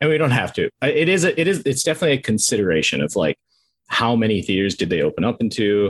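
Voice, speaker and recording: With an American accent, a man talks at a very fast pace in a medium pitch with very wide pitch swings, vocal fry and very even loudness, in a dry, close sound with no echo. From Minnesota, US Midwest. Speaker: film reviewer, video creator. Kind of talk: casual chat.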